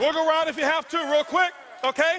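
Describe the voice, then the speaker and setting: Raised and projected, a man's voice runs at a very fast pace with an animated, intense tone and an extremely high pitch. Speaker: motivational speaker. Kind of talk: motivational speech. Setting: stage with audience. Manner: loud, intense.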